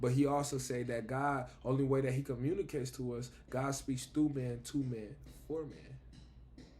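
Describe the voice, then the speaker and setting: A man's medium-pitched, dark, mellow voice, somewhat breathy and monotone in flat intonation, at a moderate pace with audible room echo. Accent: American. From Buffalo, New York, US. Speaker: vlogger. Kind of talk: casual spiritual monologue.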